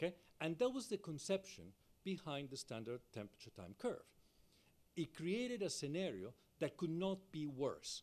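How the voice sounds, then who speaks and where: At a moderate pace, a high-pitched man speaks with very wide pitch swings and long, frequent pauses. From Latin America. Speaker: fire safety engineering professor. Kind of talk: keynote lecture. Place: hall. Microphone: podium.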